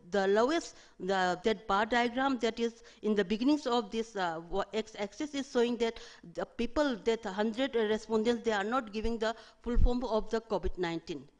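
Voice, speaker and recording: Her fairly high pitch shows ordinary variation as the woman speaks. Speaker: research presenter. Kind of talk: academic presentation. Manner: fast; halting.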